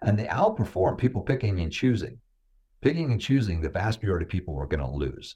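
A man with an American accent speaks in a dark, mellow tone with vocal fry and very wide pitch swings, on a very clean recording with a silent background. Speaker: philanthropist and self-made millionaire. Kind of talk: interview.

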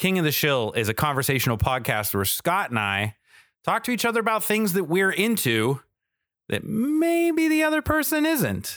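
A man with an American accent at a moderate pace, animated and enthusiastic, with very wide pitch swings, on a very clean recording with a silent background. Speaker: podcast host, wrestling fan. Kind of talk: casual chat. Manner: animated, enthusiastic.

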